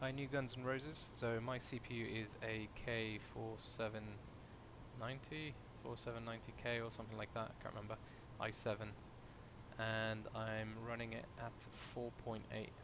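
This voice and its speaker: Quiet and monotone with flat intonation, a man speaks in a British accent at a moderate pace and medium pitch, with long, frequent pauses. Audible room echo and noticeable background noise fill the recording. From UK. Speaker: flight sim streamer. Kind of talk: live stream commentary. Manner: casual, chatty; quieter while concentrating.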